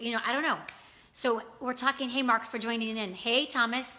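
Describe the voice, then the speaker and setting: A woman with an American accent, fairly high in pitch, in a bright, sharp tone. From US South, Virginia. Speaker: livestream talk show host. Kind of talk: casual live chat. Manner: fast.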